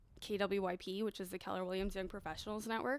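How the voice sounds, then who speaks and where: This is a normal speaking voice with a Canadian accent. The pace is fairly quick. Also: woman. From Mexico, moved to Canada as a child. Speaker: real estate professional. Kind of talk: casual podcast interview.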